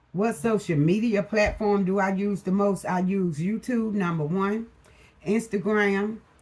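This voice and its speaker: The tone is relaxed and the pace very slow. Intonation stays fairly even. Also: woman. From US South, Mississippi Delta (Itta Bena). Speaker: motivational YouTuber. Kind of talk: casual Q&A vlog. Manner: relaxed, conversational.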